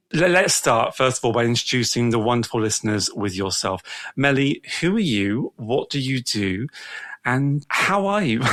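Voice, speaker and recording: Speaking at a moderate pace with a British accent, a man uses a medium pitch and very wide pitch swings. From England. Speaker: podcast host. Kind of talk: casual interview.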